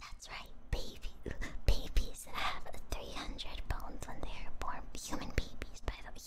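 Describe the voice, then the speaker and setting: Someone whispers at a moderate pace. Noticeable background noise is audible. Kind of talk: ASMR trivia stream, casual talk to viewers. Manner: whispered.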